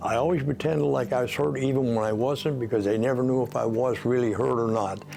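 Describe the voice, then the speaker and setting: Speech comes at a fairly quick pace with ordinary pitch variation. There is audible room echo and music in the background. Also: man. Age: 80s+. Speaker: sports memorabilia collector. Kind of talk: casual interview talk. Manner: halting, many fillers.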